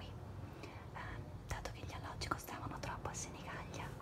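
A woman's voice comes through loud background noise. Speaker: ASMR creator. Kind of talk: ASMR show and tell, whispered casual talk to camera. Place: home room. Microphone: phone near.

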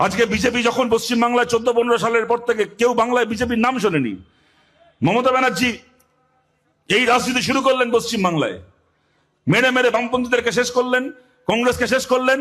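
Animated and bright, sharp in tone, a man speaks at an extremely high pitch with very even loudness. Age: 30s. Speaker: left-wing politician. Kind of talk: political rally speech.

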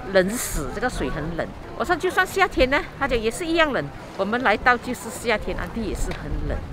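A woman's high-pitched voice with very wide pitch swings and hardly any pauses, dry sound with no echo, and crowd noise in the background. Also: moderate pace. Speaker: travel vlogger. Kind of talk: casual vlog chat. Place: waterside. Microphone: phone near.

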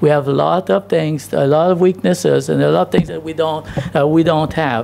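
The pace is moderate. The intonation is lively. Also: man. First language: not English. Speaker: pastor. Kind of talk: sermon. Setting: church. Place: church. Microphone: podium.

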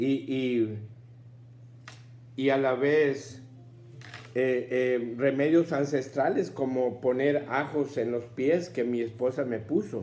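A man talks at a very slow pace while faint music plays in the background. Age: 70s. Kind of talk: personal testimony talk to camera. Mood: earnest, grateful. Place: home room.

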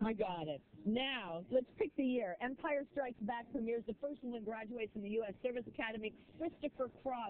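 A woman with a plain, everyday voice speaks at a fairly high pitch and a fairly quick pace, her pitch varying in an ordinary way. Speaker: TV morning news host. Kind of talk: TV morning show banter.

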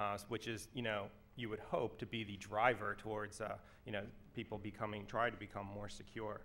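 With a bright, sharp tone, a man talks at a fairly quick pace, keeping his fairly low pitch fairly even. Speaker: security professional and student. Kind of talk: conference panel discussion. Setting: stage with audience. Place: hall. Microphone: podium.

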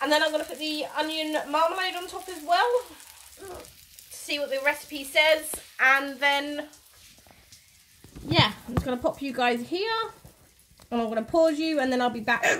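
With lively intonation and big swings in loudness, a woman speaks at a high pitch and a moderate pace, leaving long, frequent pauses over noticeable background noise. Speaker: cooking vlogger. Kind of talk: casual cooking vlog. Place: kitchen. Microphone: phone near.

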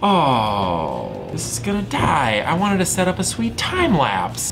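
There is clear music in the background. Over it, a man talks. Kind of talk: casual vlog chat. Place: workshop. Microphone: camera far.

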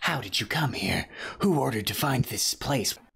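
A man talks at a moderate pace. His voice is raspy and sits at a medium pitch. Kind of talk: comic game-dialogue read-aloud. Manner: grave, mysterious, conspiratorial.

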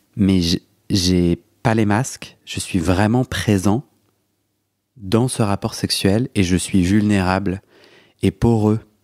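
A man with a fairly low pitch talks at a very slow pace, leaving long, frequent pauses and keeping his intonation fairly even. The recording is very clean, with a silent background and a dry, close sound with no echo. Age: 30s. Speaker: podcast host. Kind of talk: interview. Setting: home, on a sofa.

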